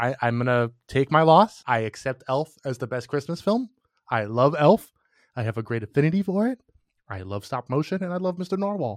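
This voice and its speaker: A man with a fairly high pitch makes very wide pitch swings, the sound dry and close with no echo over a quiet background. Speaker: podcast co-host. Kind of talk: casual chat.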